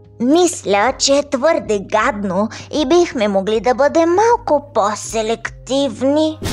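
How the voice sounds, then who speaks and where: A woman's high-pitched, put-on character voice over clear music in the background. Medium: fan dub. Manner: nervous, wordy, fretful.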